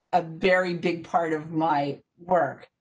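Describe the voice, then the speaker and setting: Against a quiet background, a woman with a fairly low pitch talks with fairly even intonation. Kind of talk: presentation talk. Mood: warm, appreciative. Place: home room. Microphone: video call.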